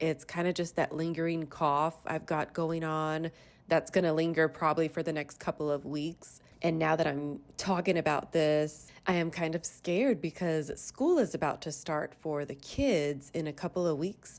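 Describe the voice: A woman at a moderate pace, low-pitched, with ordinary pitch variation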